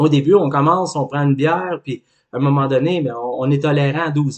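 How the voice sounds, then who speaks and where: A man speaks with a Quebec accent in a fairly high voice. His pace is moderate and his pitch variation ordinary. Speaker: life coach. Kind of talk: educational talk.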